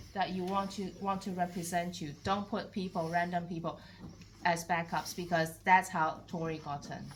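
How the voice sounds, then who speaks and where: A somewhat breathy woman at a moderate pace, with audible room echo. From Taiwan. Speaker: council candidate. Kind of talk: public meeting Q&A. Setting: community hall meeting.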